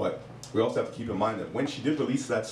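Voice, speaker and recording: Lively intonation carries through audible room echo over light background noise. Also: man. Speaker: hot topics panelist. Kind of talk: casual chat. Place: stage.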